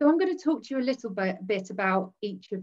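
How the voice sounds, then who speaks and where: The speaker is a woman. Her background is quiet. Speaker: presenter. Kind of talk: lecture. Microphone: video call.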